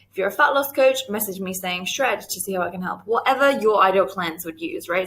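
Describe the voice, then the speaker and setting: With an English accent, a woman speaks at a fairly quick pace in a medium pitch, her tone bright and sharp and her intonation lively. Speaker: business coach teaching a course. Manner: casual, conversational, uses fillers.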